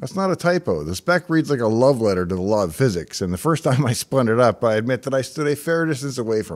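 Against a quiet background, a man talks at a very fast pace. His pitch swings very widely. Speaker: tech hobbyist host. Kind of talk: narrated tech vlog. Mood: wry, enthusiastic. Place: studio. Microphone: studio mic.

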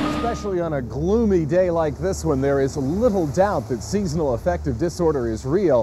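With music in the background, a man talks at a fairly quick pace and fairly high pitch with hardly any pauses, the sound dry with no echo. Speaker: TV meteorologist and radio host. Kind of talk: TV news report.

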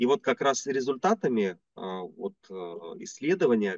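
A man speaks at a very slow pace with very wide pitch swings. The sound is dry with no echo, over a quiet background. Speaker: business consultant; interviewee. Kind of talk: interview. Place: home room. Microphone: video call.

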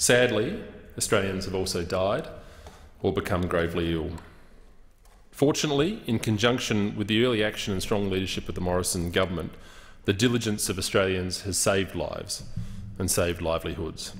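A man's very deep, low pitch with ordinary pitch variation at a fairly quick pace. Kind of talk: formal parliamentary speech. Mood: earnest, firm. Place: hall. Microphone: podium.

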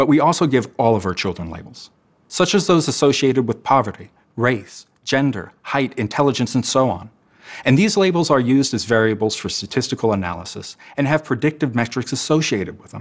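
Over a quiet background, a man speaks at a fairly quick pace. His loudness swings widely. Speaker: educator. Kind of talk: talk presentation. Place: studio. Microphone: lapel.

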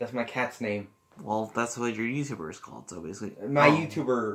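The speaker reads aloud plainly with ordinary pitch variation.

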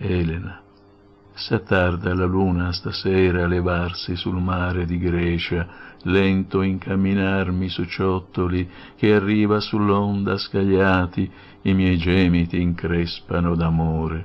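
At a very slow pace, a man speaks with a very deep, low pitch and monotone, flat intonation. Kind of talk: poetry reading, spoken word. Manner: impassioned, declamatory; emotive, pleading, rhythmic.

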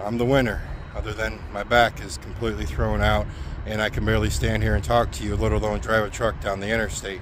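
Against noticeable background noise, a man talks at a very fast pace, the sound dry with no echo. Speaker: truck driver vlogger. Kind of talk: casual vlog chat. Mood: joking, tongue-in-cheek storytelling. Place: street. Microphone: phone near.

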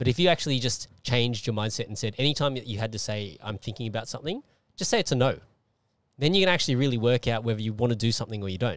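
The man talks at a very fast pace with ordinary pitch variation, and the sound is dry with no echo. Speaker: podcast host and martial artist; podcast host. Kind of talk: casual interview. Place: car. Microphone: handheld.

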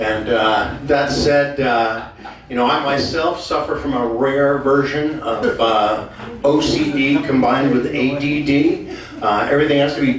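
Over light background noise and audible room echo, a man talks very slowly with fairly even intonation and very even loudness. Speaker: comic singer introducing a song. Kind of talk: stand-up comedy patter. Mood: deadpan joking. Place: stage. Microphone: camera far.

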